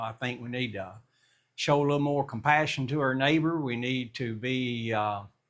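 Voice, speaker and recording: At a moderate pace, a normal speaking voice delivers fairly even intonation over a quiet background. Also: man. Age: 60s. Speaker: math teacher. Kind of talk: casual chat; tutorial. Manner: conversational.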